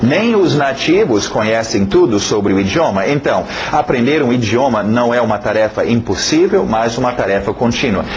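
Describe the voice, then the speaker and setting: A man's lively intonation at a moderate pace, with very even loudness and hardly any pauses, in audible room echo with noticeable background noise. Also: medium pitch for a man. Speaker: English teacher. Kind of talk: lecture. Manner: halting, many fillers.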